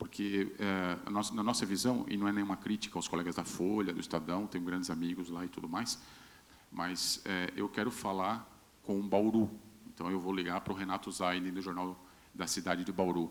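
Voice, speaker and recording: A man with a São Paulo interior accent speaks at a moderate pace in a very deep, low pitch, his intonation monotone and flat. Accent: regional São Paulo interior accent, kept. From Brazil, Vale do Ribeira, São Paulo state. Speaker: state communications secretary. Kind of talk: panel discussion. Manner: halting, repeats words.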